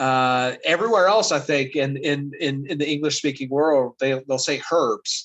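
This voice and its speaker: With an American accent, a man talks at a fairly slow pace, at a medium pitch with ordinary pitch variation. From US South, West Virginia (Appalachia). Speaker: teacher. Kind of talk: lecture. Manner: halting, many fillers.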